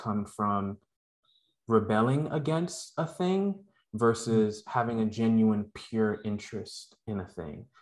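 In a quiet background, a man with an American accent and an unremarkable speaking voice talks at a fairly slow pace, his medium pitch showing ordinary variation. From Brooklyn, New York (Canarsie), West Indian household. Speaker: podcast co-host, interviewed as guest. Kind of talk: casual interview chat.

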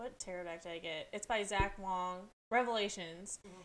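At a moderate pace and medium pitch, a woman speaks in an ordinary speaking voice with fairly even intonation. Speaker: podcast co-host. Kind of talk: casual chat.

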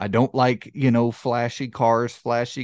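A medium-pitched man with a Southern US accent, moderate in pace and fairly even in intonation, against a quiet background. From US South. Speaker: video game podcast host. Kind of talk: casual chat. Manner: halting.

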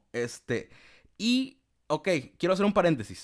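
This is a man speaking. He has a Mexican accent. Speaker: podcast host, communication student. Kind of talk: casual chat. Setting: remote call with guest.

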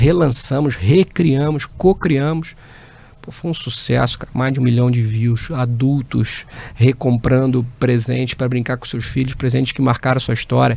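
A man's unremarkable speaking voice at a medium pitch, fairly even in intonation, at a moderate pace. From interior of Rio de Janeiro state (Barra Mansa). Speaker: business executive. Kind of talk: interview.

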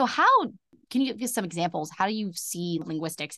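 Her words come out very fast. A woman with a lively intonation is talking. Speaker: podcast host. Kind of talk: casual interview conversation. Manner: excitable.

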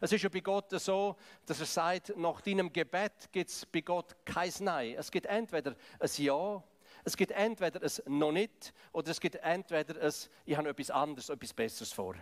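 Dry and close with no echo, a man's high-pitched voice moves at a moderate pace with ordinary pitch variation. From Switzerland, Graubünden. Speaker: preacher. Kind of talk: sermon.

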